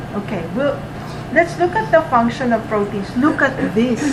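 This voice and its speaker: Amid noticeable background noise and audible room echo, a woman speaks in a high pitch with lively intonation. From Philippines. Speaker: college anatomy and physiology instructor. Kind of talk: lecture.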